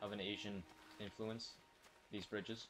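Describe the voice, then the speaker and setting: Music in the background behind a man with a fairly low pitch. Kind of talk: casual gameplay commentary. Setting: laptop built-in microphone.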